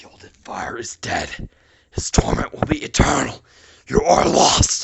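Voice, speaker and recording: A man puts on a character voice. His delivery is raspy. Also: fairly slow pace. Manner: seething with hate, thundering.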